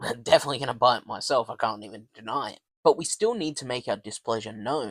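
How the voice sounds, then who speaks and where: Talking at a fairly quick pace in an unremarkable speaking voice, a man keeps to a medium pitch in a dry, close sound with no echo. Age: middle-aged. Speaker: gaming commentator. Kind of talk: opinion commentary to camera. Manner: indignant, ranting.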